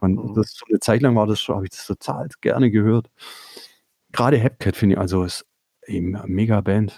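A man with a slight Swabian accent speaks at a fairly quick pace and fairly low pitch, with a dark, mellow tone and fairly even intonation. Long, frequent pauses break up his speech, and the sound is dry and close with no echo. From Swabia, Swabian Jura. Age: 50s. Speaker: record label owner and musician. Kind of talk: casual interview. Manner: hesitant.

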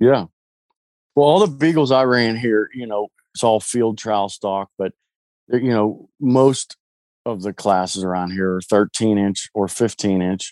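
On a very clean recording with a silent background, a man with an unremarkable speaking voice talks at a fairly low pitch with ordinary pitch variation and a dry, close sound with no echo. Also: fairly slow pace. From US, Pittsburgh, Pennsylvania. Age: 40s. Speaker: hound dog hunter, military veteran. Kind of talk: casual chat.

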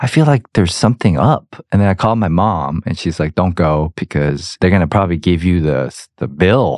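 A man's very deep, low voice with an American accent, lively intonation, a fairly quick pace, and hardly any pauses, on a very clean recording with a silent background. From US South, Georgia. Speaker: podcast host and actor. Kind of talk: casual interview chat.

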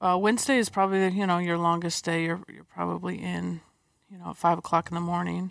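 Recorded very cleanly against a silent background, a woman with an American accent talks fairly quickly with big swings in loudness. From US West Coast (San Diego). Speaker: athletic trainer and physical therapist. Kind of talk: interview.

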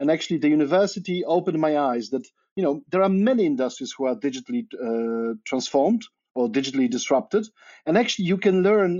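A man with a Polish accent speaks at a fairly high pitch, his pitch swinging very widely. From Poland. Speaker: media researcher. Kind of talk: interview. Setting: remote call.

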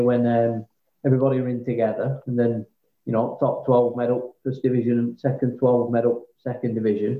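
In a Lancashire accent, a man speaks at a fairly quick pace and medium pitch with monotone, flat intonation. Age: 30s. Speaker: amateur cricketer. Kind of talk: casual chat.

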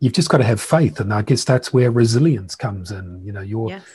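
A somewhat breathy, dark and mellow voice moves at a moderate pace with ordinary pitch variation on a very clean recording with a silent background. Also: man. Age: 50s. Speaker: entrepreneur and podcast host. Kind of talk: interview conversation.

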